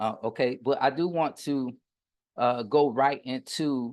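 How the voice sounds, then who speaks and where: Medium pitch from a man with a Southern US accent, ordinary pitch variation and a quiet background. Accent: Southern US, country. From US South, Pensacola, Florida. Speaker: business coach and contractor. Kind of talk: online workshop lecture. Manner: occasionally tongue-tied.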